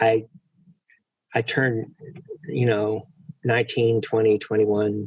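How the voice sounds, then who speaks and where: A man's somewhat breathy voice at medium pitch and a fairly slow pace. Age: 60s. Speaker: prison reform advocate, former prisoner. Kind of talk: webinar conversation. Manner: halting, many fillers and repeats.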